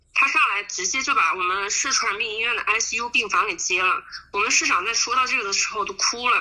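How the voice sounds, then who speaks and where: A woman talks at a fairly quick pace with a fairly high pitch and ordinary pitch variation. Noticeable background noise runs underneath. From Huanggang, Hubei, China. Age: 20s. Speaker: volunteer. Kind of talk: interview.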